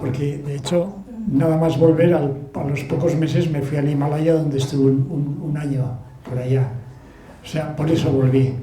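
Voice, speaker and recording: With a Basque accent, a man talks at a moderate pace and a fairly high pitch in a monotone, flat intonation, amid noticeable background noise and audible room echo. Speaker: author and sailor. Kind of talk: book talk Q&A.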